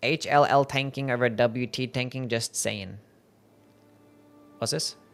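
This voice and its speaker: The man's voice sits at a medium pitch, and he talks at a fairly slow pace. Music plays in the background. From Australia. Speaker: video game streamer. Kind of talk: live gameplay stream chat. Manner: casual, upbeat.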